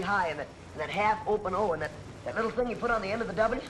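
Speaking at a very fast pace with a high pitch and ordinary pitch variation, a man is heard against noticeable background noise. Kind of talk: film dialogue, comic banter. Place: car. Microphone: old recording.

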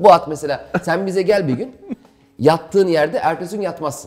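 A man speaks at a fairly quick pace with vocal fry. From Istanbul, Turkey; Turkey. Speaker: stand-up comedian; interview guest, comedian. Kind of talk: casual interview. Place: home room.

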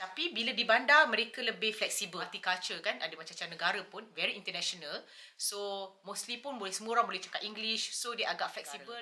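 A woman's fairly high voice at a very fast pace with lively intonation and hardly any pauses. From Malaysia. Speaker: YouTuber. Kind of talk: casual chat. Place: home room. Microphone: camera far.

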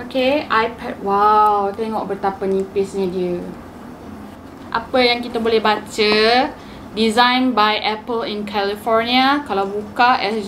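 Fairly high for a woman, her voice keeps a fairly even intonation at a moderate pace, with light background noise behind it. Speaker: youtuber. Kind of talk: casual unboxing talk to camera. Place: home room.

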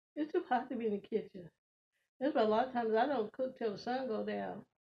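Talking at a very fast pace, a woman uses a fairly high pitch with vocal fry and ordinary pitch variation. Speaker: mukbang vlogger. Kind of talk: mukbang eating show, casual talk to camera. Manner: casual, chatty. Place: home room. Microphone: phone near.

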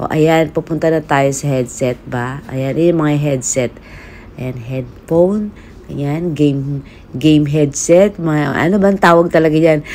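Over light background noise, a woman speaks at a fairly slow pace in a very deep, low pitch with ordinary pitch variation. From Philippines. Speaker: vlogger. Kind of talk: casual shopping vlog. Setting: in an electronics store. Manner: animated. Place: shop. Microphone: phone near.

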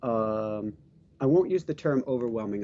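His pitch moving an ordinary amount, a man speaks at a moderate tempo. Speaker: podcast host. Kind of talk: casual chat. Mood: upbeat, animated. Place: home room. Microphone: headset.

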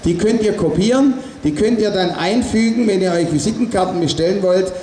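A man speaks loudly at a moderate pace, with audible room echo and light background noise. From Stuttgart area, Swabia, Germany. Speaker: artist and protest speaker. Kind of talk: rally speech. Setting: outdoor demonstration with PA system. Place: street.

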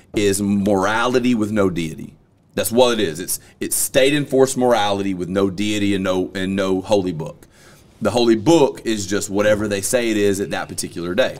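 A man speaks in a fairly low pitch. His pitch variation is ordinary. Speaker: podcast host. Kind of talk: podcast discussion opinion. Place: studio. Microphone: studio mic.

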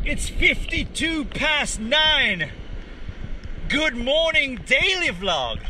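A man's raised, projected voice at an extremely high pitch, with lively intonation at a very slow pace, over noticeable background noise. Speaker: surfing vlogger. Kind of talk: vlog narration. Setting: outdoors in the surf. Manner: animated.

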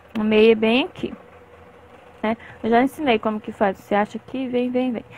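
Heard in a dry sound with no echo, a woman speaks at a moderate pace and a fairly high pitch. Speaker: crochet teacher. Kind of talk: tutorial. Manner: talkative, chatty. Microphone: phone near.

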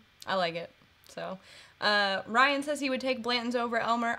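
Speaking at a moderate pace, a woman with an American accent has a high pitch and a bright, sharp tone. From Kentucky. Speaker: bourbon channel co-host. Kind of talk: casual live-stream tasting chat. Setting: live stream. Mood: relaxed, friendly. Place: home room.

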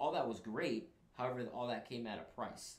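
A man with an American accent at a fairly quick pace, plus audible room echo. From New York City, the Bronx. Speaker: Marine recruiter; guest. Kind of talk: casual chat. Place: studio.

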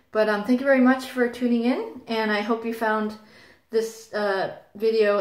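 A woman speaks at a moderate pace with a fairly high pitch and fairly even intonation. The background is quiet, but room echo is audible. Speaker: vlogger sharing birth experiences. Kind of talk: casual vlog monologue. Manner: hesitant, many fillers. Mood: calm, warm sign-off. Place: home room. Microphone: phone near.

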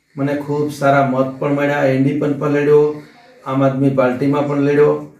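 With noticeable background noise and audible room echo, a man speaks in a monotone, flat intonation at a fairly high pitch. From Gujarat, Somnath area (Saurashtra). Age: 60s. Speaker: politician and social worker. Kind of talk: interview statement.

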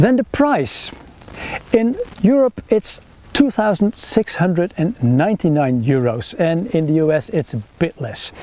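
With lively intonation, a man speaks at a fairly slow pace in a fairly high pitch and a dark, mellow tone.

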